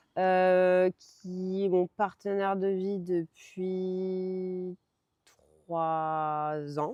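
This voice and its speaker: In a dark, mellow tone, a woman speaks very slowly with monotone, flat intonation. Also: medium pitch for a woman. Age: 30s. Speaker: horse rider and former riding instructor. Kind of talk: testimony interview. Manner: hesitant, many fillers.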